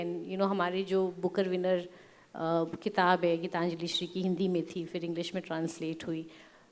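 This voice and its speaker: A woman talks while noticeable background noise fills the clip. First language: English (weaker in Hindi) (speaking Hindi). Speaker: publisher, panelist. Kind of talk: panel discussion. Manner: code-switching Hindi-English, hesitant.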